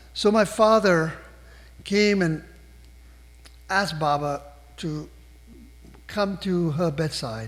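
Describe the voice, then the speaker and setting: A man with a high voice speaks at a very slow pace, with long, frequent pauses and ordinary pitch variation. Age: 70s. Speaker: invited speaker at a spiritual gathering. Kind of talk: personal storytelling talk. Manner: conversational with fillers.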